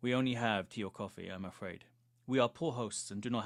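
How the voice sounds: Reading in a natural voice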